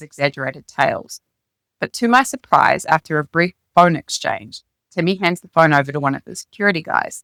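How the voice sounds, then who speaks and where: Speaking very fast in a New Zealand accent, a woman with a fairly low pitch and ordinary pitch variation is heard in a dry, close sound with no echo. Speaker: author reading her own memoir. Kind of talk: reading aloud.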